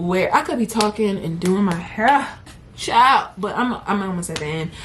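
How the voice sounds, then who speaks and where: Noticeable background noise runs through the clip. The speaker's intonation is lively. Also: woman. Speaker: vlogger. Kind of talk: casual vlog talk. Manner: animated.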